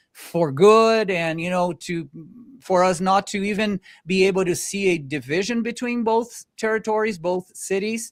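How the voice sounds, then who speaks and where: Captured dry and close with no echo on a very clean recording with a silent background, a man with a non-native accent speaks in a high voice. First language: not English. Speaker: podcast host. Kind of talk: interview.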